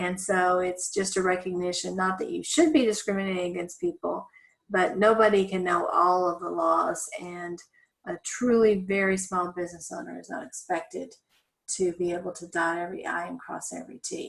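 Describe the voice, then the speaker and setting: Her loudness swinging widely, a woman with an American accent speaks at a moderate pace. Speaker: law instructor. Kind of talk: lecture. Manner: conversational, with frequent fillers.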